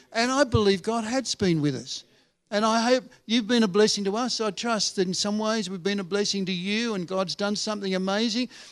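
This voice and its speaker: A high-pitched man with an Australian accent, on a very clean recording with a silent background. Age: 70s. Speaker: retired pastor, visiting preacher. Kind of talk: sermon. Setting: church service.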